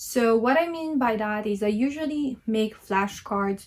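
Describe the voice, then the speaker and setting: A woman with a Filipino accent speaks at a fairly slow pace, her voice somewhat breathy. Her pitch is fairly high, and the background is quiet. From Philippines. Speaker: language learner vlogger. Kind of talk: casual tutorial vlog. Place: home room. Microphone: phone near.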